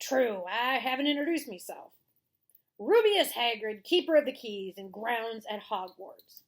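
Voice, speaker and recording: A woman puts on a character voice with a West Country accent, speaking at a moderate pace in a high pitch. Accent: rustic West Country English dialect. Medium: read story. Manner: rough, folksy.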